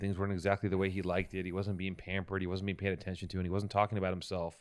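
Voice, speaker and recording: Speaking with an American accent, a man uses a fairly low pitch. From Venice, California. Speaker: podcast co-host and interviewer. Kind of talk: casual chat; mock-epic narration. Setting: studio.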